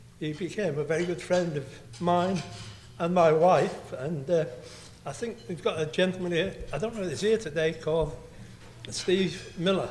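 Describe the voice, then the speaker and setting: A man's high voice with long, frequent pauses, audible room echo and noticeable background noise. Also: ordinary pitch variation, moderate pace. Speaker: friend of the ship's crew. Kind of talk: speech. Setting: banquet hall with audience.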